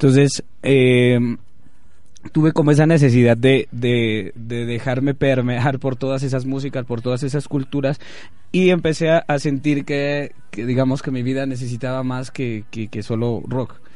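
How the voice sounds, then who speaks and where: Intonation remains fairly even. The speaking moves at a fairly slow pace. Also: man, medium pitch for a man. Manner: halting, filler-heavy.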